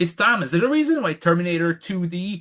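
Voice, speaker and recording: Against a quiet background, a man talks at a fairly quick pace with a high pitch and a bright, sharp tone. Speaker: movie commentary youtuber. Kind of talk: casual monologue review. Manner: halting, frequent restarts.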